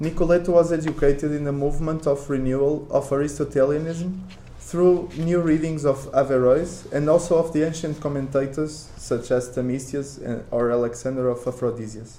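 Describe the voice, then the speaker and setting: In a Portuguese accent, a man speaks with fairly even intonation and hardly any pauses, with audible room echo. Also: fairly high pitch for a man, fairly quick pace. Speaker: academic researcher. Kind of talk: conference talk. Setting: conference with audience.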